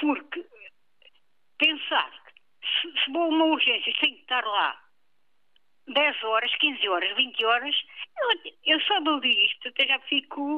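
Using lively intonation, a woman with a high pitch speaks at a fairly slow pace with long, frequent pauses. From Lisbon. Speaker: caller. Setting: phone call.

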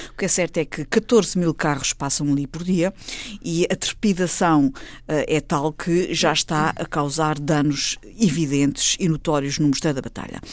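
This woman's voice is very deep and low, with ordinary pitch variation. She speaks at a fairly slow pace. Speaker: panel commentator. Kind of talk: panel discussion.

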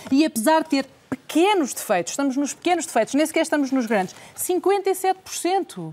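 At a moderate pace and with hardly any pauses, a high-pitched woman talks with very wide pitch swings. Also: very even loudness. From Portugal. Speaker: journalist and interviewer. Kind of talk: televised debate.

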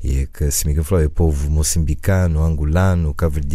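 Fairly even in intonation, a man's very deep, low voice carries audible room echo. Noticeable background noise runs underneath. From USA, Cape Verdean family. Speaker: musician. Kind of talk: radio interview. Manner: halting.

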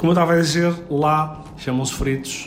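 Speaking at a fairly slow pace, a man is heard with audible room echo and noticeable background noise. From Portugal, Seixal. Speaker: chef. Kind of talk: radio interview. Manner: hesitant, with fillers and repetitions.

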